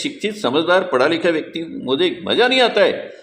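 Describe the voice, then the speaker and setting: A man speaks at a moderate pace in a recording with audible room echo and noticeable background noise. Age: 70s. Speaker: spiritual teacher. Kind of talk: monologue. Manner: animated.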